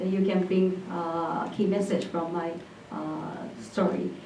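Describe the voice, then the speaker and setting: A woman with a Japanese accent at a fairly slow pace, with audible room echo. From Japan, Hyogo Prefecture (Nishinomiya). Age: 20s. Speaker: entrepreneur. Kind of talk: presentation. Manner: hesitant, many fillers.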